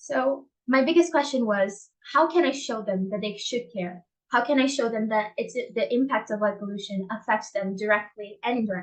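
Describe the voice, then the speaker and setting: This woman's voice sits fairly high and is somewhat breathy. Her pitch varies an ordinary amount. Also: moderate pace. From Brazil. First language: Portuguese. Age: young. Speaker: dark-sky advocate and English teacher. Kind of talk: conference talk.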